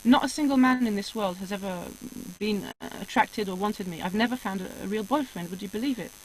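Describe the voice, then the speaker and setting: A woman speaks very fast at a medium pitch, with ordinary pitch variation. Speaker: spiritual guest telling life story. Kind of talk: casual interview chat.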